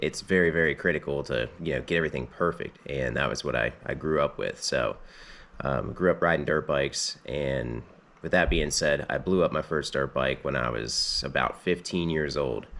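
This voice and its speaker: At a moderate pace, a man with a very deep, low pitch and vocal fry talks with ordinary pitch variation. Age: 20s. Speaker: mechanic, channel owner. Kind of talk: casual vlog storytelling. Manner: casual with many fillers (um, uh).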